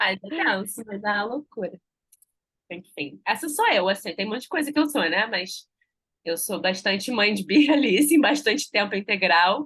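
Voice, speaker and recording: The woman's pitch is medium. She speaks at a moderate pace. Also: lively intonation. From Rio de Janeiro, Brazil. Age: 30s. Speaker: journalist and mother telling her breastfeeding story. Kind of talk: podcast interview, personal story. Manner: animated.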